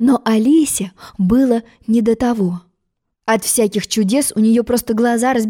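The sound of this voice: A quiet background under an unforced reading voice.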